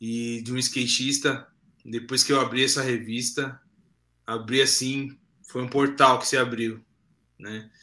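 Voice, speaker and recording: Marked by long, frequent pauses at a fairly slow pace, the speech has a bright, sharp tone and monotone, flat intonation, on a very clean recording with a silent background. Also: man, medium pitch for a man, big swings in loudness. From São Paulo, Zona Leste (Cidade Tiradentes). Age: 30s. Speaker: graffiti artist. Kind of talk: interview.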